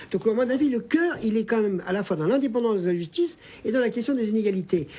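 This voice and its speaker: A man talks at a very fast pace in a dark, mellow tone. His pitch swings very widely. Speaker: sociologist, research director. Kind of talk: televised panel debate. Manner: animated.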